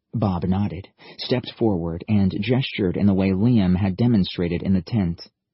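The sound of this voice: An unforced reading voice. The pitch varies in an ordinary way.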